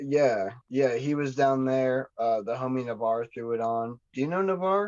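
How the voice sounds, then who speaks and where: A man with an American accent at a medium pitch, ordinary pitch variation, an ordinary speaking voice, and a fairly slow pace. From Montana, Kalispell. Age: 30s. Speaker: underground rapper. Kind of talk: casual chat.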